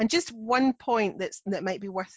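This is a woman speaking. She has a Scottish accent. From Scotland. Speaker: non-fiction editor, podcast co-host. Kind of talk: casual educational chat.

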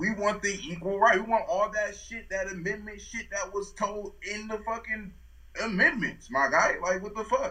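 A man's high-pitched, raised and projected voice at a moderate pace, with noticeable background noise. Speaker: podcast co-host. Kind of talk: casual chat. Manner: animated.

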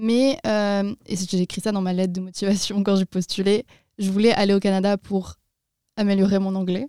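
A woman with a medium pitch speaks at a moderate pace in a dark, mellow tone with monotone, flat intonation. The very clean recording has a silent background and a dry, close sound with no echo. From France, Tours. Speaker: university student. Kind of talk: interview.

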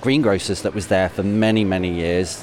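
Noticeable background noise under a man's fairly low-pitched speech. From Coventry, England (Canley). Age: 40s. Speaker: primary school teacher. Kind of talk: personal reflection. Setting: shopping centre. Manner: conversational.

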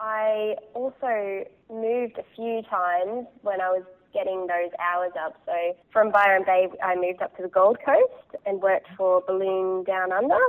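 A woman with an Australian accent speaks at a fairly slow pace, her intonation fairly even. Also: medium pitch for a woman. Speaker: hot air balloon pilot. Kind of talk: interview.

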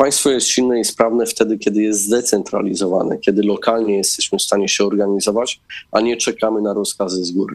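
A man with a fairly low pitch talks at a very fast pace with hardly any pauses. His intonation stays fairly even. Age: 30s. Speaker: politician. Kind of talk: political interview.

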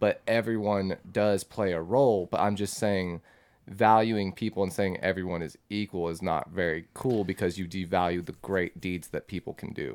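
The man has a very deep, low voice and fairly even intonation at a moderate pace. The recording is very clean, with a silent background. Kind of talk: casual banter.

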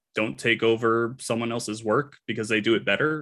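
A man's normal speaking voice at a moderate pace on a very clean recording with a silent background. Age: 30s. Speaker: writer and content creator. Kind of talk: casual chat.

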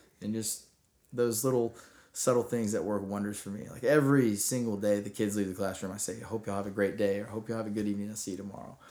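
Very fast and monotone, a man with a fairly low voice and a dark, mellow tone delivers his lines with flat intonation. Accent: Texan. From Texas. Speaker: middle school teacher. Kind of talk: interview.

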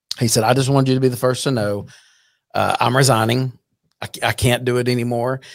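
A man's medium-pitched, flat monotone delivery with an American accent, very fast, on a very clean recording with a silent background. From Texas, Fort Worth area. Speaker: youth baseball league president. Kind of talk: casual chat.

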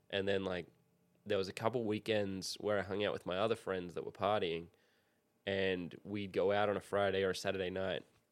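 A man with an Australian accent talks very fast in a fairly low, flat monotone, recorded very cleanly against a silent background. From Australia, Sydney. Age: 30s. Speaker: professional skateboarder. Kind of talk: casual chat.

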